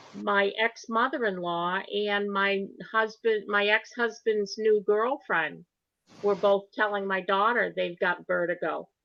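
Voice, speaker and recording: A woman uses a plain, everyday voice at medium pitch. She goes at a fairly slow pace with fairly even intonation. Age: 60s. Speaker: livestream co-host. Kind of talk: casual chat.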